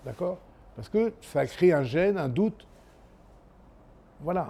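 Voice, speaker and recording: The man's voice has a dark, mellow tone. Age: 60s. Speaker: chef. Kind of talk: interview. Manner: halting.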